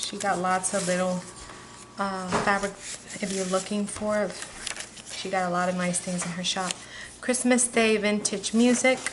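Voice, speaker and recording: With noticeable background noise, a woman speaks at medium pitch and a moderate pace. Her intonation is fairly even, and she leaves long, frequent pauses. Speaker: crafter selling handmade journals. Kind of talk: product flip-through video. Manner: casual with fillers.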